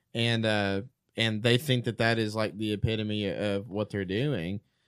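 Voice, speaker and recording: An unremarkable speaking voice: a man at a moderate pace with fairly low pitch and fairly even intonation, on a very clean recording with a silent background. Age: 30s. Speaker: theology podcast panelist. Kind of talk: casual chat.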